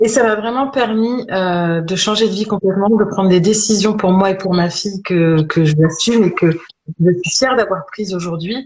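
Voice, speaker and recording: A woman speaks at a medium pitch, somewhat breathy. She keeps a moderate pace with ordinary pitch variation. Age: 40s. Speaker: holistic medicine practitioner-teacher. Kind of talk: interview, personal story. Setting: live stream video call. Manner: hesitant, many fillers.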